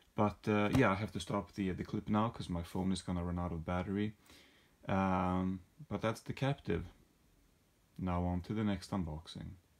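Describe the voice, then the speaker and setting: A man's very deep, low voice at a moderate pace, with fairly even intonation and long, frequent pauses. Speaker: video creator doing unboxings. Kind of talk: casual unboxing monologue. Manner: halting.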